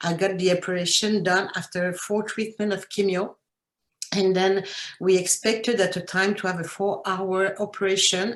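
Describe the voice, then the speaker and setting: A woman speaks at a medium pitch and moderate pace. Her intonation is monotone and flat. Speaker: cancer patient. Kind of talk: testimony. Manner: halting.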